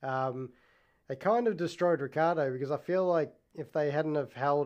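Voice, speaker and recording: The speaker has an Australian accent and a moderate pace. The intonation stays fairly even. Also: man. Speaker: podcast host. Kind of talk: casual solo talk.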